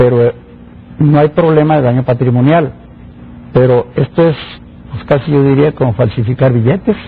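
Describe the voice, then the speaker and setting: A man at medium pitch, with ordinary pitch variation and a moderate pace broken by long, frequent pauses. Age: 60s. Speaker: engineer and public official. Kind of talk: interview. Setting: studio.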